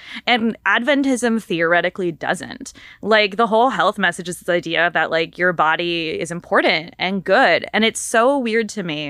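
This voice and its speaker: A normal speaking voice from a woman, medium in pitch, with lively intonation, a moderate pace and hardly any pauses. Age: 30s. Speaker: literature scholar with a PhD. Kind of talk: casual chat.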